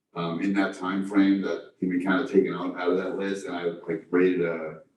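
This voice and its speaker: A man speaks in a flat monotone with a very deep, low pitch. Room echo can be heard. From New York. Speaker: district engineer. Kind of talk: public meeting report. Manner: fast; halting, many fillers.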